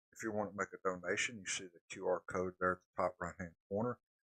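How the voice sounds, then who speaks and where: A man with a Southern US accent at a fairly quick pace, in a dry, close sound with no echo. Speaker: storm spotter and weather streamer. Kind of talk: live weather coverage. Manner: casual, conversational.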